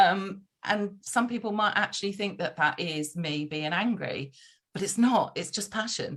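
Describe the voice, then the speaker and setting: A woman's voice at a medium pitch, with ordinary pitch variation. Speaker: podcast guest. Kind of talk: casual conversation. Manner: fast; loud.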